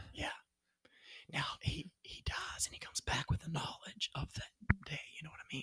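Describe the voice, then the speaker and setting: The voice is whispering at a moderate pace. Long, frequent pauses break up the speech. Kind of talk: casual chat.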